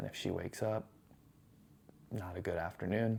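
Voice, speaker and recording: A soft-spoken man talks on a very clean recording with a silent background. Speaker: vlogger, new dad and cook. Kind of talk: casual vlog monologue. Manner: soft-spoken, talking low.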